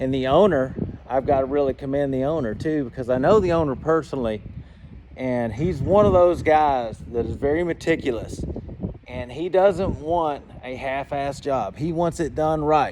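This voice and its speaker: A man in a Georgia accent speaks at a moderate pace, his fairly high pitch showing ordinary variation. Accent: Georgia Southern. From Georgia, US South. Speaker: flight instructor and aircraft dealer. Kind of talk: tutorial. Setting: aircraft hangar. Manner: casual, animated.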